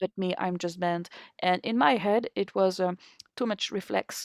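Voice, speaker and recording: A woman with a French accent at medium pitch with fairly even intonation, in a dry, close sound with no echo on a very clean recording with a silent background. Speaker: harmonica player. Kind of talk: interview. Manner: halting.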